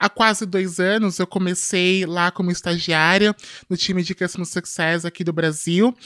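The voice keeps a moderate pace. Its pitch variation is ordinary. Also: woman. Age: 20s. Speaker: tech company executive and activist. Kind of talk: podcast interview.

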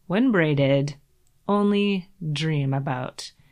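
Against a quiet background, a woman with a Canadian accent speaks with lively intonation. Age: 40s. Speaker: podcast host. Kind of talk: personal essay narration.

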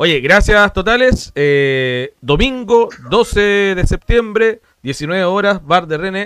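The speech comes at a very slow pace. Its intonation is lively. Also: man, high pitch for a man. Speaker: podcast co-host. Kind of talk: casual chat.

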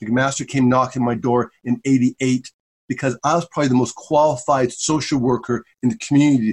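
In a dry, close sound with no echo, a man uses an ordinary speaking voice at a medium pitch, a fairly quick pace and ordinary pitch variation. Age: 50s. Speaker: social work professor. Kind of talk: interview.

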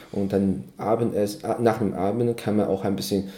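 A man speaks with a Chinese accent at a fairly low pitch. His tone is dark and mellow, with ordinary pitch variation. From China. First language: Chinese (speaking German). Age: 30s. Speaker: cultural exchange organizer. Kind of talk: casual interview. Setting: evening tea session. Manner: halting, many fillers.

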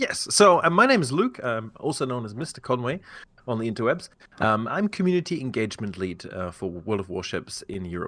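A man speaks with a British accent in a bright, sharp tone at medium pitch. His pace is fairly quick, with very wide pitch swings. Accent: British-sounding English. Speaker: game company community manager. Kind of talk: podcast interview. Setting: remote podcast recording.

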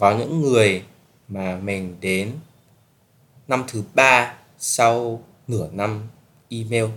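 At a very slow pace with long, frequent pauses, a man speaks in a medium pitch with ordinary pitch variation. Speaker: podcast host, student abroad. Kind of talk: casual solo podcast talk.

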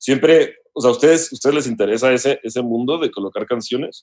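A man has an ordinary speaking voice. His pitch is medium, with ordinary variation. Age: 30s. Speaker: music producer and songwriter. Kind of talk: casual chat.

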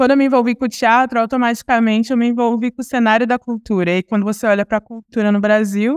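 Dry and close with no echo, this very clean recording with a silent background has a woman talking very fast in a fairly high voice with fairly even intonation. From Ribeirão Preto, interior of São Paulo, Brazil. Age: 20s. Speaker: diversity and inclusion professional, entrepreneur. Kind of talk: casual interview.

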